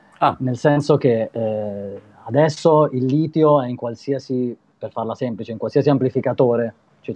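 In a normal speaking voice, a man talks at a moderate pace with a medium pitch and fairly even intonation. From Italy. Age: 30s. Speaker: street performer and musician; guest. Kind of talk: casual interview. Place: home room. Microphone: video call.

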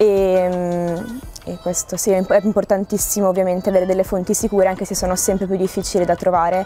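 A woman talks at a very fast pace in a monotone, flat intonation. The sound is dry with no echo, and faint music plays in the background. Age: young. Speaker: student. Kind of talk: interview answer. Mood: calm, thoughtful. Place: garden.

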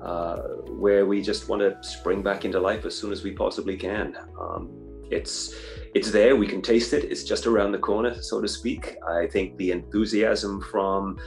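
Moderately paced speech from a man over faint background music. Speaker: guest. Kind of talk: interview answer. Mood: upbeat, enthusiastic. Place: home room. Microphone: video call.

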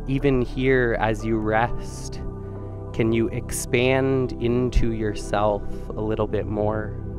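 Clear music plays in the background as very slow speech comes through in a dry sound with no echo. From Vancouver, Canada. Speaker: yoga and meditation guide. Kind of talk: guided yoga class instruction. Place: studio. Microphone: headset.

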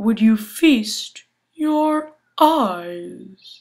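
A woman speaks very slowly in a put-on character voice, recorded very cleanly against a silent background. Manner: slow, lazy.

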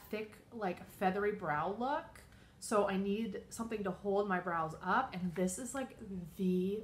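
The pace is moderate and the voice somewhat breathy. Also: woman. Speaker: beauty vlogger. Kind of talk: casual vlog chat. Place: home room. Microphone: phone near.

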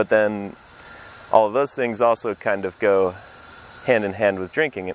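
Light background noise sits behind a man with an American accent. His fairly low voice moves at a fairly slow pace with ordinary pitch variation. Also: dry sound with no echo. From Nebraska, US Midwest (Papillion). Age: 20s. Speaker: documentary interviewee. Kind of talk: reflective interview. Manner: hesitant, with fillers. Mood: reflective, slightly conflicted. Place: street. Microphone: lapel.

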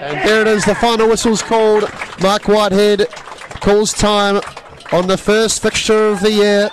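An excited tone at very even loudness, with noticeable background noise. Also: man, high pitch for a man, moderate pace. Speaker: football commentator. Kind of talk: live match commentary, play-by-play over highlights. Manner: excited, rising energy at goals.

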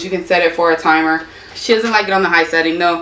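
Speaking at a fairly quick pace, a woman with a fairly low pitch is heard with audible room echo. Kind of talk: casual vlog chat. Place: garage. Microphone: camera far.

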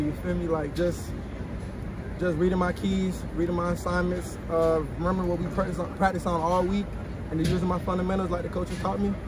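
A man's fairly quick speech comes through with noticeable background noise around it. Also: dry sound with no echo. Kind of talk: interview answer. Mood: upbeat after a win. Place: stadium.

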